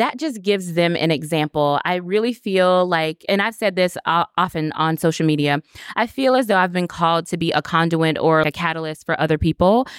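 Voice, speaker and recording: In a very clean recording with a silent background and a dry, close sound with no echo, a woman with an unremarkable speaking voice and an American accent speaks at a fairly quick pace and fairly low pitch, with ordinary pitch variation and very even loudness. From Florida. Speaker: dentist and coach. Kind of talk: interview. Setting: live at a conference.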